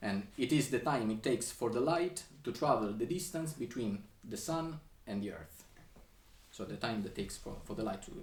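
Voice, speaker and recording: A man speaks with ordinary pitch variation. Room echo can be heard. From Sicily, Italy. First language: Italian. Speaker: composer. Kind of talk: lecture. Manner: halting, many fillers and restarts.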